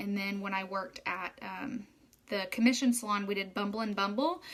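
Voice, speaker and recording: A woman's fairly high pitch with an Oklahoma accent. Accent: Oklahoman. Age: 20s. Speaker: hairstylist turned direct-sales marketer. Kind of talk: casual live video talk.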